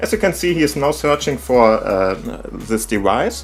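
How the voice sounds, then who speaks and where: A man with a German accent at a moderate pace, music in the background. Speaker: tech YouTuber. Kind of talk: tech tutorial talk to camera.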